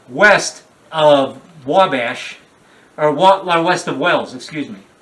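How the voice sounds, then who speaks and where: There is noticeable background noise. Through it, a man talks with a fairly high pitch. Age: 60s. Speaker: independent horror filmmaker. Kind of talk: interview. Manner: halting, many fillers and restarts; talkative, rambling.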